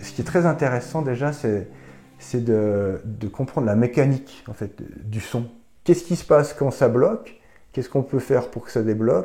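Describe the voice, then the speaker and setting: A man speaks at a medium pitch in a dark, mellow tone that is somewhat breathy. His loudness swings widely, while his pitch variation is ordinary. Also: moderate pace. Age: 40s. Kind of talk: interview answer.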